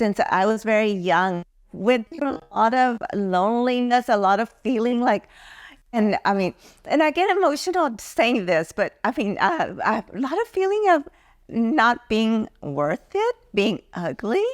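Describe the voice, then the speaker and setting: A woman's fairly high voice with an American accent, very wide pitch swings and a fairly slow pace, in a dry, close sound with no echo. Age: 70s. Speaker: beauty pageant titleholder. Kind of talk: casual chat.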